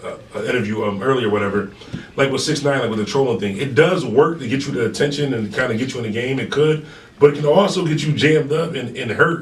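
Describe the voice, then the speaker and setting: Noticeable background noise and audible room reverb around very rapid speech with normal pitch movement. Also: man, fairly high pitch for a man. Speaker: radio DJ and interviewer. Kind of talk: casual interview. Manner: fast.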